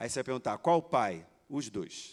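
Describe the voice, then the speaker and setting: With ordinary pitch variation and a moderate pace, an ordinary speaking voice comes through on a very clean recording with a silent background. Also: man. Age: 40s. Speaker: pastor, youth ministry coordinator. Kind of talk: sermon.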